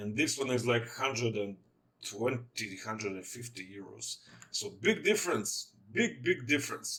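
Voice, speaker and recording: Noticeable background noise runs behind speech delivered at a moderate speed. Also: man. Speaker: tech reviewer. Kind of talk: product review walkthrough. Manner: casual, hesitant with fillers.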